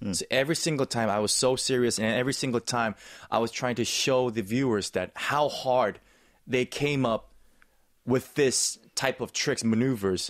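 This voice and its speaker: A man with a Korean accent at a moderate pace against a quiet background. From South Korea. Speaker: actor and snowboard commentator; interview guest, sports commentator. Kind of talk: interview. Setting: studio. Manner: enthusiastic. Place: studio. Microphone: studio mic.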